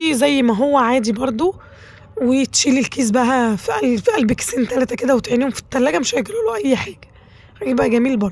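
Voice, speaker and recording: Fairly quick delivery from a woman with a high-pitched voice. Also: ordinary pitch variation. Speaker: cooking channel host. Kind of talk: cooking tutorial. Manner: chatty, conversational.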